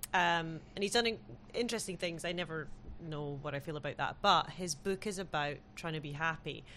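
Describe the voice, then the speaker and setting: Against a quiet background, a woman with a British accent speaks at a moderate pace in a bright, sharp tone, her fairly low pitch varying in an ordinary way. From Britain. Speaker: podcast host. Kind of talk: casual chat.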